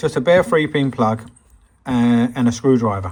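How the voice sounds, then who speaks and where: Speaking in an English accent, a man uses a medium pitch. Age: 60s. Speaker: hobbyist restorer. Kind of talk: workshop tutorial; casual anecdote. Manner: halting.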